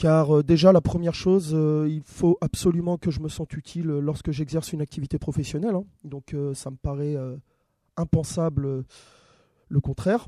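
A man's fairly high-pitched voice with a dark, mellow tone, fairly even intonation and big swings in loudness, moderate in pace with long, frequent pauses, in a dry, close sound without echo. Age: 30s. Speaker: school staff and youth sports educator. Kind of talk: interview. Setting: studio. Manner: hesitant, many fillers.

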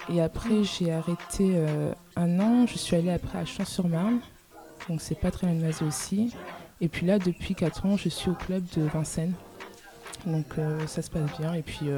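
A woman with a fairly low pitch speaks at a fairly slow pace with fairly even intonation and long, frequent pauses. Noticeable background noise runs underneath. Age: 20s. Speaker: student volleyball player. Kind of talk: radio interview.

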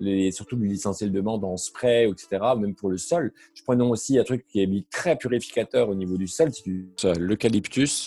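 Moderately paced, a man speaks at a fairly low pitch with ordinary pitch variation, a dark, mellow tone and big swings in loudness, in a very clean recording with a silent background and a dry, close sound with no echo. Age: 40s. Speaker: spiritual practitioner and occult shop owner. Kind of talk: casual interview chat. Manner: hesitant, many fillers.

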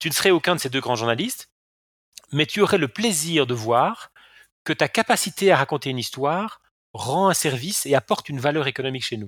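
The speech comes at a fairly quick pace with lively intonation. The recording is very clean, dry and close, with a silent background and no echo. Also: man, fairly high pitch for a man. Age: 50s. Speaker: e-learning company CEO, former philosophy lecturer. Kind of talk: interview. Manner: frequent repetitions and hesitations.

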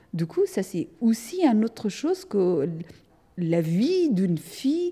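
Very slowly, a woman with a fairly high pitch speaks in a dark, mellow, somewhat breathy tone with very wide pitch swings. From Afghanistan, Hazara from central region. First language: Dari (Persian) (speaking French). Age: 30s. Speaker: artist. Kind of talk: testimony. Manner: halting, with repetitions.

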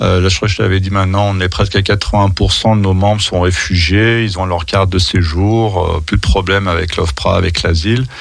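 A man's very deep, low voice at a moderate pace, with very even loudness, fairly even intonation and noticeable background noise. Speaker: association coordinator. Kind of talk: radio interview. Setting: studio.

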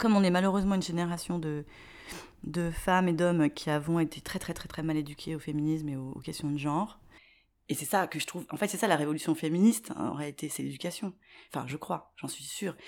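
The speaker has an ordinary speaking voice with fairly even intonation. The recording is very clean, with a silent background. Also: woman, fairly low pitch for a woman. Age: 40s. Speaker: aspiring video maker. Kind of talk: interview.

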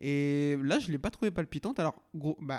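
In a very clean, silent recording with a dry, close sound and no echo, a man speaks at a moderate pace with a fairly high pitch and ordinary pitch variation. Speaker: podcast host. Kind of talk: casual chat. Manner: loud.

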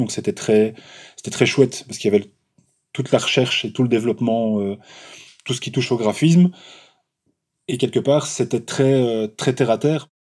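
A man with a Walloon accent speaks at a fairly quick pace. His tone is dark and mellow, with ordinary pitch variation. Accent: Belgian French (Walloon). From Belgium, Charleroi. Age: 40s. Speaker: graphic designer, fanzine creator. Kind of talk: interview. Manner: halting, many hesitations and repetitions.

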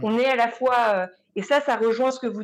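Speaking in an unremarkable speaking voice, a woman uses a fairly high pitch, ordinary pitch variation and a moderate pace. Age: 30s. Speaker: visual and sound artist. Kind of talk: panel discussion.

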